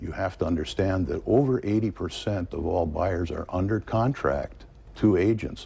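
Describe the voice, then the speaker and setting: Somewhat breathy and fairly low, a man's dark, mellow voice with an American accent moves at a fairly slow pace with ordinary pitch variation. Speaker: real estate agent. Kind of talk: interview. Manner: calm.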